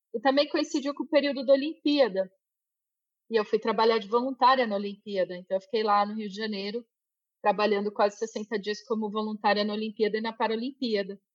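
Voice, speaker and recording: A normal speaking voice at a fairly quick pace with ordinary pitch variation, in a dry, close sound with no echo. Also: woman, fairly high pitch for a woman. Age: 40s. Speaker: IT engineer. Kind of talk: interview.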